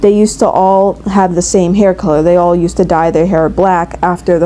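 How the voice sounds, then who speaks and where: Over music in the background, a woman with a fairly low voice speaks at a moderate pace in a monotone, flat way. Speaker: hobby artist. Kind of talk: casual rambling voiceover. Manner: stuttering, fumbling over words.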